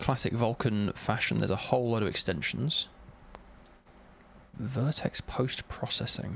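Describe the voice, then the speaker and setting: Speaking at a moderate pace with vocal fry, a man keeps a very even loudness and ordinary pitch variation while leaving long, frequent pauses. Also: medium pitch for a man. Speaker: game developer streamer. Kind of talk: live coding stream, thinking aloud. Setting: live stream. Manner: halting, reading documentation aloud.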